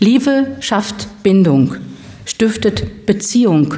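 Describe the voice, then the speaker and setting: A woman at medium pitch with very wide pitch swings, heard with audible room echo and noticeable background noise. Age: 50s. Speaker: lay preacher. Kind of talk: sermon.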